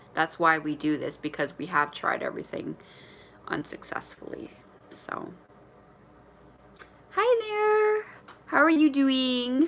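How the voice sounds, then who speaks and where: A woman with a Canadian accent at a very slow pace, long and frequent pauses, and noticeable background noise. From Ontario, Canada. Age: 40s. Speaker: vlogger sharing weight-loss surgery journey. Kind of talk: live stream chat with viewers. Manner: stutters when nervous; casual, halting. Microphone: connectivity issues.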